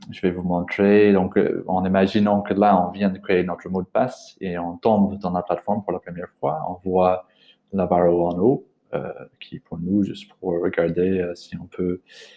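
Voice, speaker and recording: A man with a very deep, low voice and a non-native accent speaks at a fairly slow pace. His intonation stays flat and monotone while his loudness swings widely. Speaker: language trainer. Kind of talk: tutorial. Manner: halting, many hesitations.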